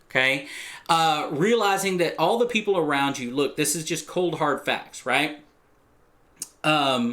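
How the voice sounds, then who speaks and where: A man with a Texan accent speaks loudly in a bright, sharp, animated tone at a fairly high pitch. His pitch swings very widely, and his pace is fairly slow. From Texas. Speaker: real estate agent. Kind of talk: vlog talk to camera. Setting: recorded video, Texas flag behind.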